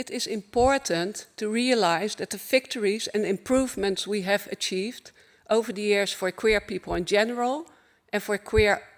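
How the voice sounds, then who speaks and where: A woman with a Dutch accent speaks at a moderate pace in a fairly high voice. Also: ordinary pitch variation. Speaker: LGBTI advocacy organization speaker. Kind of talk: conference keynote speech. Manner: formal.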